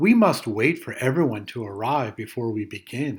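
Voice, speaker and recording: In a cartoonish character voice, a man talks at a medium pitch. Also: moderate pace. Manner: kind, patient.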